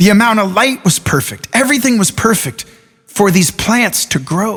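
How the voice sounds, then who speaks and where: With lively intonation, a man talks at a moderate pace and a high pitch. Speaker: motivational speaker. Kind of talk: motivational talk.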